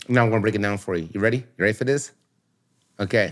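A man's animated, very fast delivery with ordinary pitch variation. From Philadelphia, US. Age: 40s. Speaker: radio personality. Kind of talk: casual chat.

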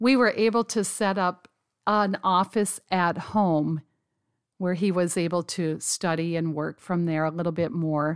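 A woman with an unremarkable speaking voice talks at a fairly slow pace in a fairly low pitch with ordinary pitch variation, heard dry and close with no echo on a very clean recording with a silent background. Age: 50s. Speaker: pastor's wife. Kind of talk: interview testimony.

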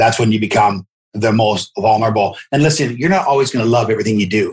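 Somewhat breathy, a man talks very fast in a medium pitch with ordinary pitch variation. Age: 50s. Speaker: mortgage company founder. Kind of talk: interview.

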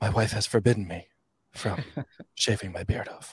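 A man whispers in a husky, put-on character voice at a moderate pace. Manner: whispery, brooding.

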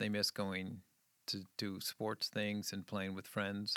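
A man with an American accent speaks at a fairly slow pace in a fairly low, bright, sharp voice with monotone, flat intonation, on a very clean recording with a silent background. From New England, outside Boston. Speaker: children's ministry leader and parent. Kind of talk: casual chat.

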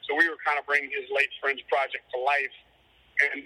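A Cajun accent, with a dry, close sound and no echo. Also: man. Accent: Cajun Louisiana English. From Louisiana, Cajun. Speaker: musician. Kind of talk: casual interview.

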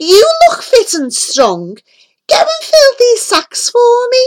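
A woman's squeaky, cackling put-on character voice, extremely high in pitch, with very wide pitch swings and a fairly slow pace

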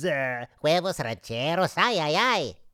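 This put-on character voice sits at a middle pitch and moves at a fairly slow pace. It comes on a very clean recording with a silent background. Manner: mocking, over-the-top.

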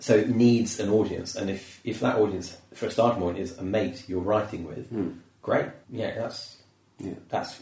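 There is audible room echo as a man with a British accent and a fairly low pitch talks at a moderate pace. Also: ordinary pitch variation. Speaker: comedian. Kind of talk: casual chat. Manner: animated.

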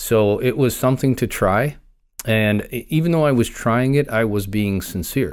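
Speaking in a plain, everyday voice, a man holds a medium pitch with ordinary pitch variation. His pace is moderate, and the recording is very clean with a silent background. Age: 50s. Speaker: law enforcement officer. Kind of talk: interview, personal story.

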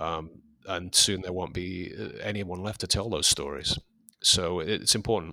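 On a very clean recording with a silent background, a man with an English accent speaks at a moderate pace in a very deep, low pitch, his tone bright and sharp and his intonation fairly even. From England. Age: 50s. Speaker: fanzine editor. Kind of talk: interview. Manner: halting.

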